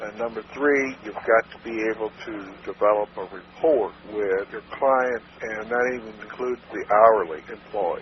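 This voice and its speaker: A man talks at a moderate pace with fairly even intonation. Noticeable background noise runs under his speech. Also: medium pitch for a man, big swings in loudness. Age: 70s. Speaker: marketing consultant. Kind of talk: interview answer. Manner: straight-talking.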